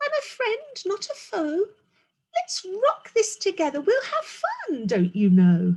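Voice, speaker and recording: A woman puts on a squeaky character voice at an extremely high pitch, delivered at a fairly slow pace. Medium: read story. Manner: timid, hesitant.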